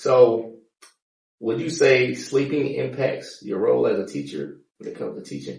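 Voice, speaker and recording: The loudness swings widely. The pace is moderate. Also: man. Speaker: podcast host and firefighter. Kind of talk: casual interview chat.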